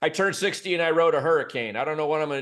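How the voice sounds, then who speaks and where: Against a quiet background, a man with a Midwestern US accent talks at a very fast pace. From Michigan, suburb of Detroit. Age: 60s. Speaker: business consultant and former CEO. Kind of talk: interview.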